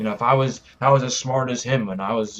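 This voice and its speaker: A man talks at a very fast pace with medium pitch. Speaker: vlogger, fitness and martial arts creator. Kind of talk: motivational vlog talk. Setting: cold house with no heat.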